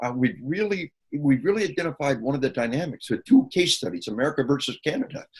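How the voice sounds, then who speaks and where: Lively intonation in very fast, somewhat breathy speech. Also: man, fairly high pitch for a man. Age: 60s. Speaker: researcher speaking on violence and media. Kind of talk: interview. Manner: animated.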